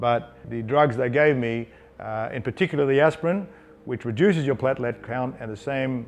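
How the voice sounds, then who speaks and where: A man at medium pitch and moderate pace, with ordinary pitch variation. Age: 60s. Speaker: company founder and CEO. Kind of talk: personal story. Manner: halting, with fillers.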